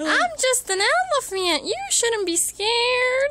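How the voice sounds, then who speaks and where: An extremely high-pitched cartoonish character voice moves at a fairly slow pace over clear background noise. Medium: puppet.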